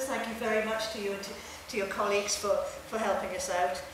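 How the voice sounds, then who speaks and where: Spoken at a very fast pace, this voice carries strong room echo and noticeable background noise. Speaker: university administrator. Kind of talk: formal welcome speech. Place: hall. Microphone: podium.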